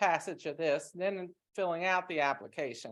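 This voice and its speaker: On a very clean recording with a silent background, a woman speaks at a fairly quick pace in a medium voice with ordinary pitch variation. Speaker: town staff member presenting grant application. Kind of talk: public meeting presentation. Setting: town council meeting room. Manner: loud, projecting voice.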